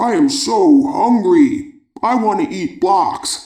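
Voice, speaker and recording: A man puts on a character voice at an extremely high pitch. It sounds raspy and moves at a very slow pace. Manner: hungry, playful.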